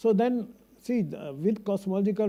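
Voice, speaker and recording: A man speaks at a moderate pace with a dark, mellow tone. His pitch varies in an ordinary way. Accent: Punjabi. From India, Punjabi-speaking. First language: Punjabi. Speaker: astrophysicist. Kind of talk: conference talk. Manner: halting.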